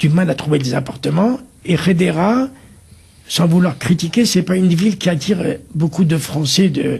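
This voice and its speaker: Speaking at a fairly slow pace, the man leaves long, frequent pauses. His pitch is high, with ordinary variation. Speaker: community volunteer, kashrut worker. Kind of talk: TV interview.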